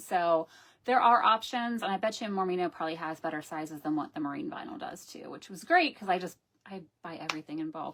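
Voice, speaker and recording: The woman's speech moves at a fairly quick pace. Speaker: embroidery pattern designer. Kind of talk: tutorial. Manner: casual, chatty with fillers; usually loud.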